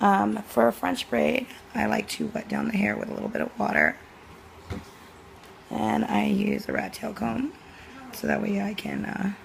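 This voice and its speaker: The speech moves at a moderate pace, broken by long, frequent pauses, with noticeable background noise. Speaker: cosmetology student. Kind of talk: tutorial talk to camera.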